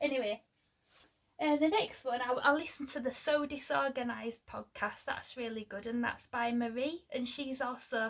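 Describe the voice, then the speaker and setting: A woman speaks at a moderate pace with a Lincolnshire accent. Her pitch is high and her intonation fairly even. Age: 40s. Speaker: sewing vlogger. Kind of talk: casual vlog chat. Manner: chatty, hesitant with many fillers.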